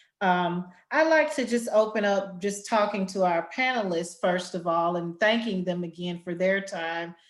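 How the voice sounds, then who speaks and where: Speaking at a moderate pace with hardly any pauses, a woman with a Southern US accent has a medium pitch and ordinary pitch variation. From Arkansas Delta, US South. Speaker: education nonprofit executive, panel moderator. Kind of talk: webinar panel moderation. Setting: online webinar.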